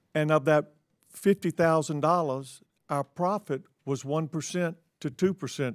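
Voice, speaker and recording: A plain, everyday voice at a moderate pace with ordinary pitch variation, in a very clean recording with a silent background and a dry, close sound with no echo. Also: man. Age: 60s. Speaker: grocery store owner. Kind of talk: congressional hearing testimony. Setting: committee hearing room.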